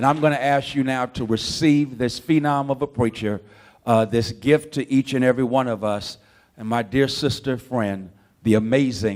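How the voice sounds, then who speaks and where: With ordinary pitch variation around a medium pitch, a man talks in an unremarkable speaking voice. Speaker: conference host. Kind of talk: introduction speech at conference.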